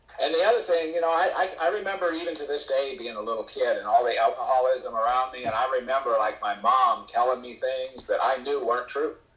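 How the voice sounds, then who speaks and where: Against noticeable background noise, a man speaks at a very fast pace with hardly any pauses. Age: 70s. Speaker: AA speaker sharing recovery story. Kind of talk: testimony. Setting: video call.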